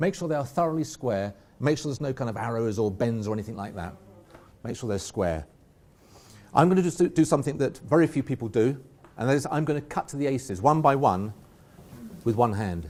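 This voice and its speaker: With an English accent, a man at a medium pitch speaks very fast with very wide pitch swings and long, frequent pauses. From England. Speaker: magician. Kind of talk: live magic performance.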